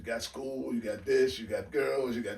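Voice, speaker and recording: The voice carries vocal fry and ordinary pitch variation, with audible room echo around it. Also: man. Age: 60s. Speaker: retired basketball coach. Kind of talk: casual interview.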